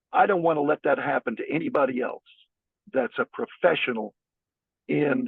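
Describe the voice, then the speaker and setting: A man speaks at a moderate pace. His speech has long, frequent pauses. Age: 60s. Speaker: school board candidate, former school counselor. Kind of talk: interview. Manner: halting, with frequent restarts.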